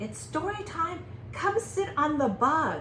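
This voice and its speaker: A woman's put-on character voice, high-pitched and fairly slow, over clear background noise. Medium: read story. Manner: cheerful, playful.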